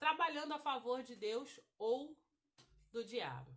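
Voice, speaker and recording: A woman with a bright, sharp tone talks at a very slow pace. Her pitch variation is ordinary. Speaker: women's Bible study teacher. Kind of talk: Bible study lesson. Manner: halting.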